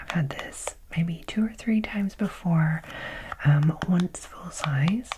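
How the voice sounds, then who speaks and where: A soft-spoken woman talks at a moderate pace over loud background noise. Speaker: beauty box reviewer. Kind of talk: casual unboxing chat. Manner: soft-spoken, hushed ASMR voice.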